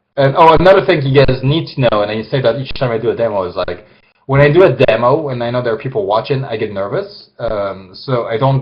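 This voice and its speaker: This man talks at a fairly quick pace with a medium pitch. His intonation is lively and his voice somewhat breathy. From France. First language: French. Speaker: illustrator. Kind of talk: live drawing demonstration. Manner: hesitant, many fillers.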